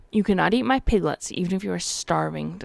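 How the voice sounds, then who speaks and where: A female-sounding, growling character voice is put on at a middle pitch. The pace is very fast. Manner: stern.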